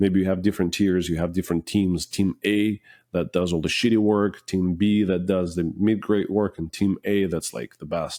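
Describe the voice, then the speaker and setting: A man with a non-native accent speaks at a very deep, low pitch and a moderate pace, with fairly even intonation and hardly any pauses. His tone is dark and mellow, and the very clean recording has a silent background and a dry, close sound with no echo. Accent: foreign. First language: not English. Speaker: finishing business owner. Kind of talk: podcast interview.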